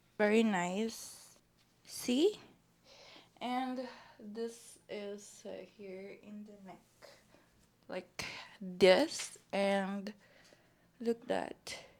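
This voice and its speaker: A woman speaks very slowly at a medium pitch, with fairly even intonation. Her loudness swings widely. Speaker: vlogger. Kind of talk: unboxing haul vlog. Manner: casual, halting.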